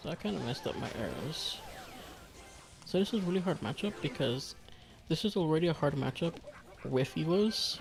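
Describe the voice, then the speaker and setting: The speech moves at a fairly quick pace but breaks into long, frequent pauses. Music plays in the background. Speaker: game streamer. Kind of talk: live gameplay commentary. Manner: casual, conversational.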